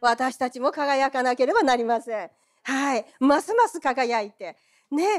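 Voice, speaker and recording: Talking at a fairly slow pace with a high pitch, a woman uses lively intonation and an animated tone, her loudness swinging widely in a dry, close sound with no echo. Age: 60s. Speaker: preacher. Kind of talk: sermon. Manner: animated, frequent laughter.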